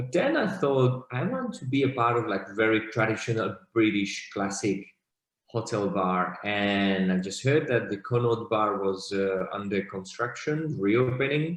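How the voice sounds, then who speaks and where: A man talks at a fairly slow pace in a Slovak accent. His pitch is medium with ordinary variation. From Slovakia. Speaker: bartender. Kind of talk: interview.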